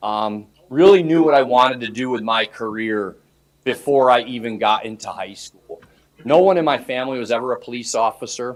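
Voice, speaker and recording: At a fairly quick pace, a man with a New York accent speaks at medium pitch with ordinary pitch variation and big swings in loudness. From New York, Hudson Valley near Poughkeepsie. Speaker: police chief. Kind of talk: self-introduction to student government. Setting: student association meeting. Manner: casual, conversational.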